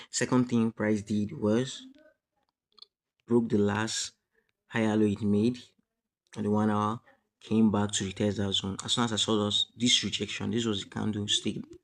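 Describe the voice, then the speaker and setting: A man's fairly low voice in a flat monotone. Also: moderate pace. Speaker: forex trading educator. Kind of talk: tutorial. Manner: halting.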